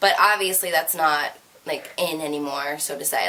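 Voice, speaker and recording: A woman talking at a fairly quick pace against noticeable background noise. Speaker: beauty and fashion YouTuber. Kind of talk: casual Q&A vlog. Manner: fast.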